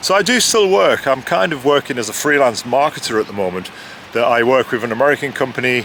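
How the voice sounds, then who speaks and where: A man talks at a medium pitch and a fairly quick pace. Noticeable background noise runs underneath. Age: 50s. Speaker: author and freelance marketer. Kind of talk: casual interview.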